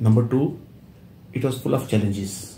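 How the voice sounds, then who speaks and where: With an Indian accent, a man speaks at medium pitch in a dark, mellow, somewhat breathy tone, with audible room echo. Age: 70s. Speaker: company secretary. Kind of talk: interview.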